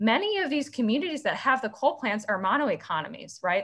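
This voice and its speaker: A woman speaks with an American accent in a bright, sharp tone. Her pitch swings very widely. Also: quiet background. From Illinois (Ottawa); Illinois. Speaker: community organizer; conference presenter. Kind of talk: presentation with slides. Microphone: webcam.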